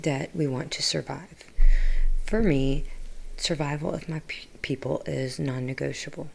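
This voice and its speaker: A soft-spoken woman with a very deep, low pitch and vocal fry talks at a fairly slow pace, her pitch varying in an ordinary way. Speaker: political livestreamer. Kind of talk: livestream monologue answering chat.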